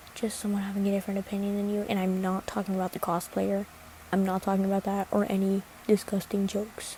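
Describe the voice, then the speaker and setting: The voice is soft-spoken and monotone, with flat intonation. It runs at a very fast pace. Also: woman, medium pitch for a woman. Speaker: social media creator. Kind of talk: casual chat. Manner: halting.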